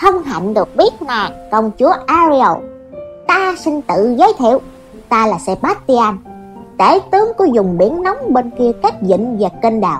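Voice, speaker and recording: A put-on character voice with a fairly high pitch and very wide pitch swings moves at a moderate pace over clear music in the background. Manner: chatty, grandiose.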